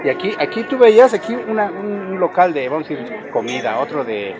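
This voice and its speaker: Crowd noise fills the background as a man talks at a moderate pace. His pitch swings very widely. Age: 60s. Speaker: passerby interviewee. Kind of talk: street interview.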